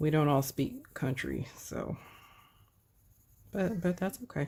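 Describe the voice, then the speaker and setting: A woman speaks with a very deep, low pitch and vocal fry. Her tone is dark and mellow, and her pace is very slow. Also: lively intonation. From Texas. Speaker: coloring livestreamer. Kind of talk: casual chat.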